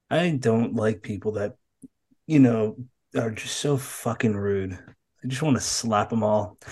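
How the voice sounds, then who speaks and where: Speaking at a fairly slow pace, a man with an American accent has a medium-pitched, somewhat breathy voice and ordinary pitch variation. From Massachusetts. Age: 30s. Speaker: podcast host. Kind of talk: casual interview chat.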